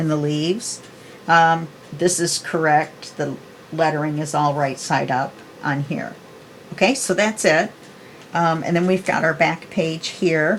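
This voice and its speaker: Noticeable background noise runs beneath speech whose intonation stays fairly even. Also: woman. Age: 60s. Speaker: papercraft video creator. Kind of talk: tutorial; casual chat. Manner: casual, chatty.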